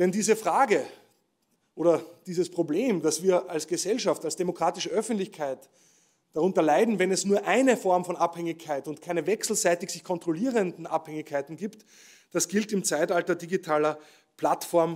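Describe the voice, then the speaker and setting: A man with a high voice at a moderate pace, ordinary pitch variation, long and frequent pauses, and a quiet background. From Austria. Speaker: professor giving keynote speech. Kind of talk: ceremonial keynote speech. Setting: stage with audience at award ceremony. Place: stage. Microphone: podium.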